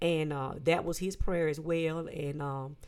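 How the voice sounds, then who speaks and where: Heard in a very clean recording with a silent background, a woman uses a normal speaking voice at a fairly low pitch and a moderate pace. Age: 50s. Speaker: church elder and marriage guest. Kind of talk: casual interview with religious teaching.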